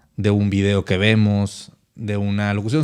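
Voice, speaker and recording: There is a quiet background behind this man's fairly low-pitched voice with its dark, mellow tone. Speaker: podcast host. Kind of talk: casual podcast talk.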